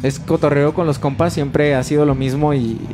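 Background noise is noticeable as a man talks at a fairly quick pace. His pitch is fairly high. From Mexico, León, Guanajuato. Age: 20s. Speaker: rock band vocalist. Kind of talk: casual chat.

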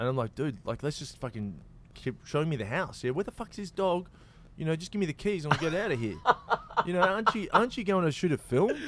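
This man talks at a very fast pace with an Australian accent, his fairly high pitch making very wide swings. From Australia, Victoria. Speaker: actor and comedian. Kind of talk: casual chat.

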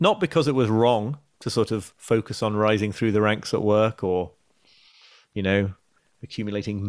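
Recorded very cleanly against a silent background, a man with an English accent speaks at a moderate pace in a fairly low voice with ordinary pitch variation. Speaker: journalist and author. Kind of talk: interview. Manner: halting.

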